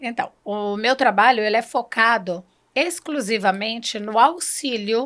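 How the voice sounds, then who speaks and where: On a very clean recording with a silent background, a woman speaks at a fairly slow pace in a normal speaking voice with ordinary pitch variation. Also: fairly high pitch for a woman. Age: 50s. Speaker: human development consultant. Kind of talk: interview.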